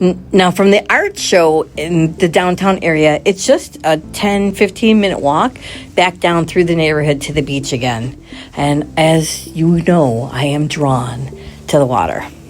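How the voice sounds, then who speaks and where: A woman speaks at a very deep, low pitch with lively intonation, taking a fairly slow pace. Music plays in the background. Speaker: travel vlogger. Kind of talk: travel vlog narration. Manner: casual.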